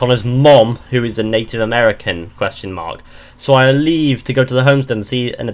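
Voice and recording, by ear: The passage is read aloud in a natural-sounding voice.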